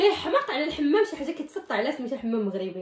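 Amid audible room echo, a woman with a Moroccan accent speaks at a very fast pace. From Morocco. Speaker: vlogger. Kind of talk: casual talk to camera. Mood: playful, laughing. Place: home room. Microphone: phone near.

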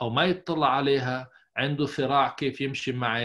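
A man's unremarkable speaking voice, fairly high in pitch, at a moderate pace with fairly even intonation, over a quiet background. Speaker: psychologist; podcast guest. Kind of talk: interview. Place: office. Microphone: earbuds.

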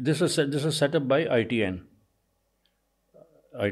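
Moderate-paced male speech with vocal fry and lively intonation. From India. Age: 80s+. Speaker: veteran journalist, news agency founder. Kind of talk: interview answer.

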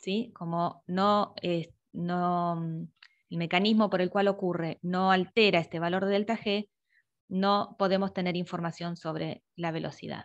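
Against a quiet background, a woman speaks fairly slowly at a medium pitch in a monotone, flat intonation. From Argentina. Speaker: university lecturer. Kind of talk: online review class. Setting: video call. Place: home room. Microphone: earbuds.

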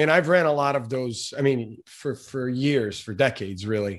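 Against a quiet background, a man talks at a moderate pace and a medium pitch in a normal speaking voice, with ordinary pitch variation. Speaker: podcast host and marketing agency owner. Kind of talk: interview conversation.

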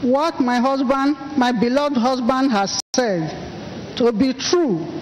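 A high-pitched woman at a very slow pace, with lively intonation, very even loudness, and noticeable background noise. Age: 60s. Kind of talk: church testimony.

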